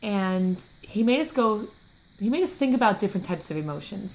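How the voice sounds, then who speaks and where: A woman's somewhat breathy voice holds a moderate pace, its intonation lively. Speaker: fitness coach. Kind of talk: motivational vlog. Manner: animated.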